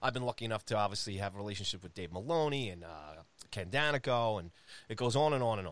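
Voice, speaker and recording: In a New York accent, a man rattles along at a very fast pace in a fairly low voice with lively intonation and big swings in loudness, on a very clean recording with a silent background. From Long Island, New York. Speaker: hockey podcast host. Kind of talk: casual chat.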